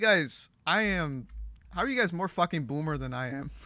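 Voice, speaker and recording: The delivery has an animated tone. The recording is very clean, with a silent background. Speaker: streamer. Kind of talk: casual livestream chat while gaming. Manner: stumbles over words, repeats himself.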